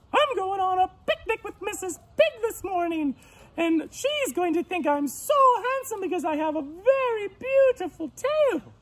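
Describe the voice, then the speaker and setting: In a squeaky, put-on character voice, a woman speaks at an extremely high pitch and a moderate pace, her pitch swinging very widely. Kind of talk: bedtime story. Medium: read story. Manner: excitable, emotional.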